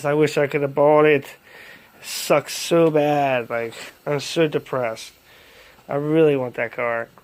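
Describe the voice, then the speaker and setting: A man's mumbled, put-on character voice, fairly high in pitch, with fairly even intonation and a fairly slow pace. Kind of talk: casual, vlog-like. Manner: mumbling.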